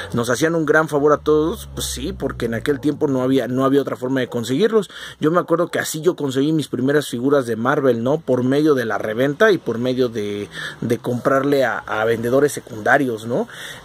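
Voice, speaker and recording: With a Mexican accent, a man speaks at a fairly quick pace with a medium pitch and ordinary pitch variation. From Mexico. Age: 40s. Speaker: collectibles youtuber. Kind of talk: casual monologue. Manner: halting, many fillers.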